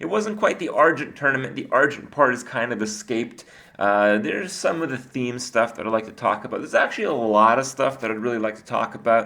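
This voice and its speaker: Over noticeable background noise, a man with a medium pitch races along at a very fast pace with lively intonation and hardly any pauses. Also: big swings in loudness. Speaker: gaming video creator. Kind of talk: card review commentary. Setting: studio. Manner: casual with filler words.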